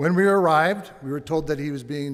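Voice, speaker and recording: Here a man talks at a fairly quick pace with ordinary pitch variation. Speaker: bereaved father speaking at vigil. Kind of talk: testimony. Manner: soft-spoken.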